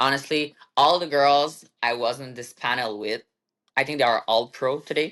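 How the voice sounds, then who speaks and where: A woman speaks in a French Canadian accent with a very deep, low pitch. She keeps a moderate pace and ordinary pitch variation. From Quebec, Canada. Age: 30s. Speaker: bodybuilder and fitness coach. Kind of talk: interview. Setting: podcast.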